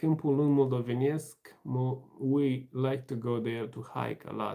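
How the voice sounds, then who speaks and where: Here a man speaks with a Romanian accent in a dark, mellow tone at medium pitch. His pace is fairly slow and his intonation fairly even. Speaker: livestream host. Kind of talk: casual livestream chat reading comments. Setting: live stream.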